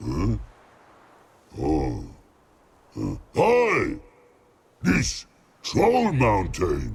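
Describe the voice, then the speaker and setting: Using a put-on character voice, a man speaks at a very slow pace with long, frequent pauses. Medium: video game. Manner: broken grammar, slow.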